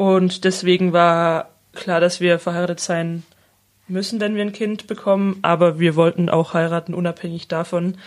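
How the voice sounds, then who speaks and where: At a moderate pace, a woman speaks with a fairly low pitch in a monotone, flat way. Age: 20s. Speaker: social worker. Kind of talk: interview.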